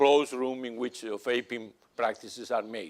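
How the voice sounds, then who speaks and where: A man with a Spanish accent talks at a moderate pace. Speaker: analytical chemistry professor. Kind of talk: conference Q&A answer. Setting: conference stage with audience. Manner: halting.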